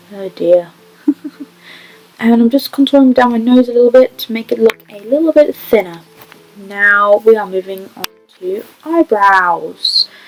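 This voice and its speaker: Long, frequent pauses break up fairly slow speech with big swings in loudness, heard over music in the background in a dry, close sound with no echo. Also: woman, fairly high pitch for a woman, ordinary pitch variation. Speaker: beauty vlogger. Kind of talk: makeup tutorial. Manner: stutter; casual voiceover.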